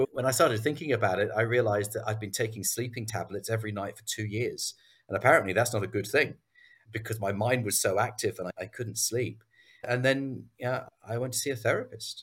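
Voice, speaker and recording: In an English accent, a man talks fairly quickly with fairly even intonation. The recording is very clean, with a silent background. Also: medium pitch for a man. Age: 50s. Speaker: business acquisition entrepreneur. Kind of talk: interview.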